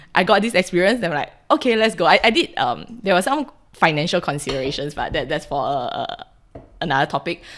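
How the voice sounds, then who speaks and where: Very fast speech in a Singaporean accent moves through very wide pitch swings. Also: woman, fairly low pitch for a woman. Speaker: podcast guest, Singaporean migrant. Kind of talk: casual chat.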